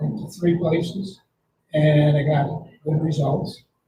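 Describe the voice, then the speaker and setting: A man's somewhat breathy, fairly high voice, dark and mellow in tone, monotone and flat, at a very slow pace. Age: 80s+. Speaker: prostate cancer patient in support group. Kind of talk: support group discussion.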